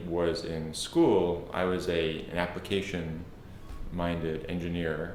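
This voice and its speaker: Amid audible room echo, a man speaks very slowly in a very deep, low pitch with monotone, flat intonation. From South Africa, Cape Town. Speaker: tech product executive. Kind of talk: interview. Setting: office.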